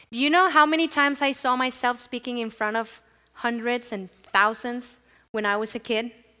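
In a very clean recording with a silent background, a woman with a Spanish accent speaks at a moderate pace, her pitch fairly high, her tone bright and sharp, and her pitch variation ordinary. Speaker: pastor. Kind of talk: sermon. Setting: church.

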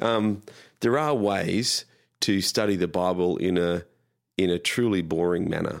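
With an Australian accent, a man talks at a fairly slow pace in a very deep, low pitch, using ordinary pitch variation, very even loudness and long, frequent pauses, all on a very clean recording with a silent background. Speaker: pastor. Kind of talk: casual chat.

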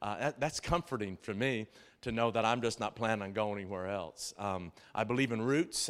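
A man talks at a fairly quick pace with ordinary pitch variation on a very clean recording with a silent background. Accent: slight Southern. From Tennessee. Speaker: pastor. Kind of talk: sermon. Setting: church. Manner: halting; animated.

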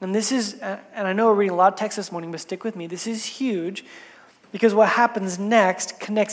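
In a natural voice, a passage is read aloud.

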